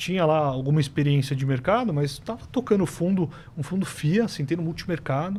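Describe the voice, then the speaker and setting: A man talks in a somewhat breathy voice. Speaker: systematic fund manager. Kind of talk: casual podcast interview. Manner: fast.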